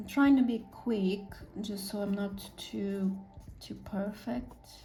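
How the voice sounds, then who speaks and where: A woman with a non-native accent speaks at a very slow pace, with big swings in loudness and ordinary pitch variation. Audible room echo and noticeable background noise are present. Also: medium pitch for a woman. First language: not English. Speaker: artist painting on camera. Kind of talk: casual painting commentary. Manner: halting, with fillers.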